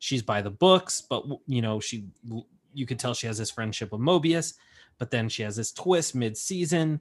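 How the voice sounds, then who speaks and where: Against a quiet background, a man with an ordinary speaking voice talks at medium pitch and moderate pace, with ordinary pitch variation. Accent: American. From California. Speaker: entertainment news podcaster. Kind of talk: casual chat.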